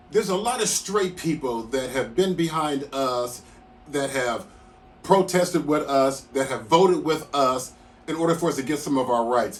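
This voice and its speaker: This is an ordinary speaking voice, moving at a moderate pace with ordinary pitch variation. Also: man, fairly high pitch for a man. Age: 60s. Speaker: commentator. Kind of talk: casual talk to camera.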